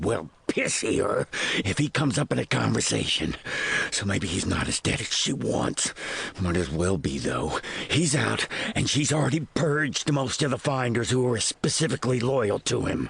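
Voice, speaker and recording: A man puts on a character voice at a medium pitch, with very wide pitch swings. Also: moderate pace. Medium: audio drama. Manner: gruff, grudging.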